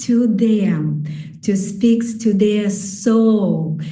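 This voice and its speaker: In a room with audible echo, a woman speaks at a very slow pace with lively intonation. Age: 60s. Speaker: qigong teacher. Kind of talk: conference talk. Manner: halting.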